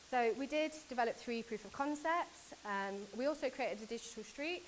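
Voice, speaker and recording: Noticeable background noise sits behind a voice with a British accent and lively intonation. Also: woman. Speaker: conference speaker from a government agency. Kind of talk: conference talk. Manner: fast.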